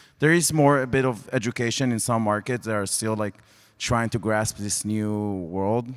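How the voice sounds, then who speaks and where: A man with a fairly low pitch speaks fairly quickly, keeping his intonation fairly even. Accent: Israeli. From Israel. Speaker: sports tech executive. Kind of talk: panel discussion. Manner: halting.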